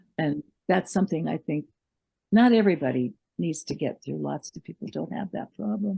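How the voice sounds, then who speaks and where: This woman speaks at a fairly quick pace with an American accent, her very deep, low pitch carrying a dark, mellow tone, vocal fry and very wide pitch swings in a dry, close sound with no echo. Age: 80s+. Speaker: memoirist and writer. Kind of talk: interview. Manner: hesitant, with many fillers.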